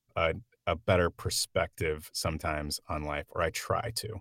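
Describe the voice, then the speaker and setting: A man with an American accent, in a very clean recording with a silent background and a dry, close sound with no echo. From Oklahoma. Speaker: actor and comedian. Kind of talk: casual chat. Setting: home sound booth.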